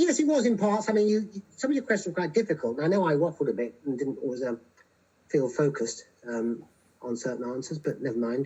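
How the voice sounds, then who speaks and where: Words pour out of a man at a very fast pace. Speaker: philosopher. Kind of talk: casual chat.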